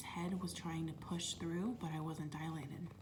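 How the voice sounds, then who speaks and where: The words come at a moderate pace while noticeable background noise sits behind them. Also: woman. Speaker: mother of a newborn and an older son. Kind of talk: ASMR storytime, soft-spoken personal labor story. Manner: soft-spoken, emotional at times.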